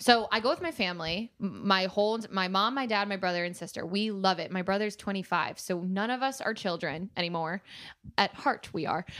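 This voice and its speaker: At a fairly quick pace, a woman speaks at a medium pitch with ordinary pitch variation, in an unremarkable speaking voice. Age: 20s. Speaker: influencer and model. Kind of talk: casual chat.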